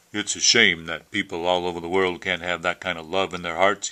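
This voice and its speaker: Using a growling put-on character voice, a man talks fairly quickly at a very deep, low pitch in a monotone, flat delivery. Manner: reflective.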